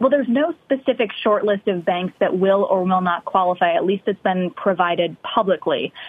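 This is a woman with an unremarkable speaking voice at a medium pitch and ordinary pitch variation. She keeps a moderate pace with hardly any pauses. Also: very even loudness. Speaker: Washington correspondent. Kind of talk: live news report. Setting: remote live shot.

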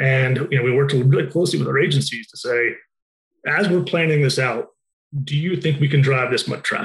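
Very fast and somewhat breathy, the voice has an American accent and ordinary pitch variation. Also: man. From Utah. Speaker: marketing executive. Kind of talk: interview. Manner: halting, many fillers and repeated words.

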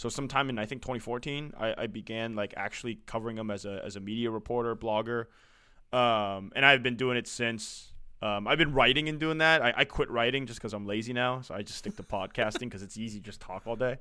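Talking at a very fast pace with an American accent, a man uses a medium pitch and ordinary pitch variation while his loudness swings widely. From US West Coast, San Francisco. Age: 20s. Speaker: sports podcast host. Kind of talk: casual chat.

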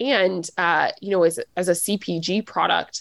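A woman's plain, everyday voice with an American accent, medium in pitch with ordinary pitch variation, in a very clean recording with a silent background and a dry, close sound with no echo. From US South, Nashville, Tennessee. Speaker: web3 consultancy executive. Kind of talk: interview.

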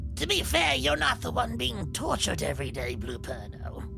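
Set against loud music in the background, a put-on character voice speaks at a moderate pace. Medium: actual play.

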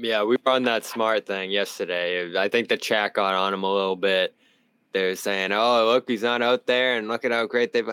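With a strong Boston accent and a bright, sharp tone, a man speaks on a very clean recording with a silent background and a dry, close sound with no echo. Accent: Boston, fairly strong. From Boston, US. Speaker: sports reporter and podcast host.

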